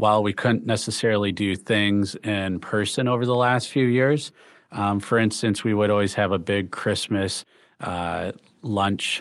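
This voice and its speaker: Against a quiet background, a man with an American accent speaks in a normal speaking voice at a fairly low pitch. His delivery is fairly slow, with fairly even intonation. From Michigan, the Thumb region. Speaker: hospital CEO and physician. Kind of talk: interview. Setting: video call.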